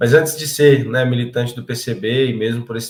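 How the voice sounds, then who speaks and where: Monotone and flat in intonation, the man talks at medium pitch and a moderate pace. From interior of São Paulo state, Brazil. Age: 30s. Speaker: political candidate and agronomist. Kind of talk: interview.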